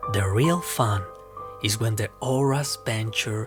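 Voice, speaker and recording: With music playing in the background, a man with a non-native accent speaks at a very slow pace. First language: not English. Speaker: ASMR and roleplay creator. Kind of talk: horror story narration read to the camera.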